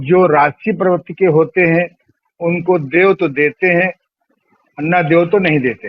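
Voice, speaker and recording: A man speaks with a high pitch and fairly even intonation. His loudness stays very even throughout. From rural India. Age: 70s. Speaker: yoga and spirituality teacher. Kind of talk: interview.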